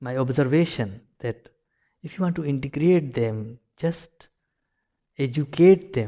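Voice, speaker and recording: A man with a Pakistani accent speaks in a dark, mellow tone. His pitch variation is ordinary, and the background is quiet. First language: Urdu. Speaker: video blogger. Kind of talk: personal commentary monologue. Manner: halting, many fillers and repetitions.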